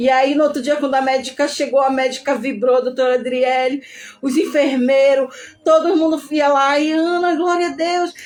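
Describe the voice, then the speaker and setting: At a moderate pace, a woman with a high voice talks with very even loudness and fairly even intonation. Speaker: testimony speaker, ICU survivor. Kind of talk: testimony. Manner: emotional.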